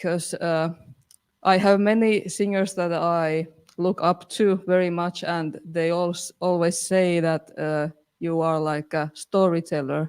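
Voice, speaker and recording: In a non-native accent, a woman with a fairly low pitch speaks flatly and monotonously at a fairly slow pace. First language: not English. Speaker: band singer. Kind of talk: casual chat. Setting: live stream. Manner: halting.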